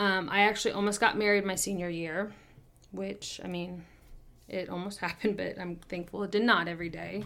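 A woman with an unremarkable speaking voice and an American accent talks at a moderate pace and medium pitch, her intonation fairly even. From Kansas City, US Midwest. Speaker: podcast co-host, former bartender. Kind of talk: casual chat.

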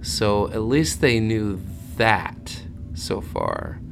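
Speaking at a very slow pace, a man with a fairly low pitch is heard over noticeable background noise. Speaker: true crime podcaster and musician. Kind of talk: casual profane true crime monologue, scripted narration mixed with ad-libbed rants. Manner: self-mocking and jokey.

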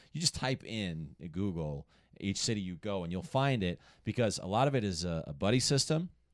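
In a very clean recording with a silent background, a man with an American accent talks at a fairly quick pace, his fairly low pitch making very wide swings. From Colorado. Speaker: stand-up comedian. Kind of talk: casual chat.

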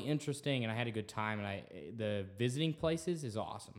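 A plain, everyday voice moves at a fairly quick pace with lively intonation. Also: man. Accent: American. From Texas. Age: 20s. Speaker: student podcast host. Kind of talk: casual chat.

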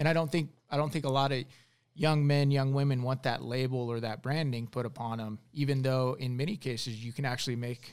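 In a very clean recording with a silent background, a man with an American accent and a plain, everyday voice talks at a fairly quick pace, medium pitch and fairly even intonation. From Arizona, Tucson. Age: 40s. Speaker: former navy commando, congressional candidate. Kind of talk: casual interview chat.

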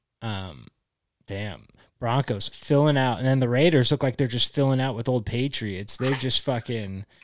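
This man has an ordinary speaking voice, medium in pitch with ordinary pitch variation, talking at a moderate pace in a very clean recording with a silent background. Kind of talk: casual chat.

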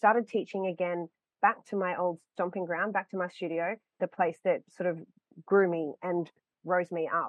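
With monotone, flat intonation, a woman talks at a moderate pace. Her pitch is medium. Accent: Australian. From Queensland, Australia. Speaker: dance studio owner and acro teacher. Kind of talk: interview.

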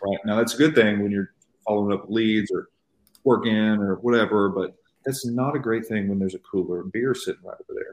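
In a normal speaking voice, a man talks at a fairly quick pace with fairly low pitch and fairly even intonation. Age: 20s. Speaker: real estate agent. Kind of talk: interview.

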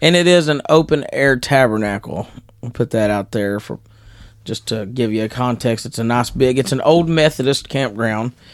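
In a Southern US accent, a man talks at a moderate pace and medium pitch with ordinary pitch variation, on a very clean recording with a silent background. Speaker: podcast co-host, pastor. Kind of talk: casual chat.

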